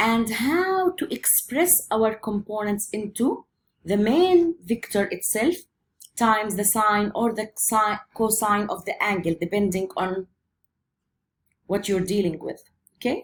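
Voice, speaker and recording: A woman speaks at a fairly slow pace with lively intonation. Her voice is fairly high-pitched and somewhat breathy. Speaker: physics teacher. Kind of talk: lecture.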